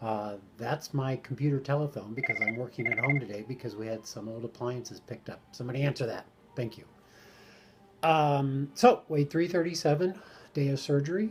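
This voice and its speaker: Here a man talks at a fairly high pitch with ordinary pitch variation. His pace is fairly quick. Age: 60s. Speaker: weight-loss surgery vlogger. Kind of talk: personal video diary update. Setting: at home. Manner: halting, many fillers.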